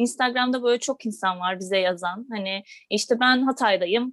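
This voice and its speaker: This woman has an unremarkable speaking voice, fairly high in pitch, with ordinary pitch variation, a fairly quick pace, and a dry, close sound with no echo. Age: 20s. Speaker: vegan platform co-founder. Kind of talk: casual interview.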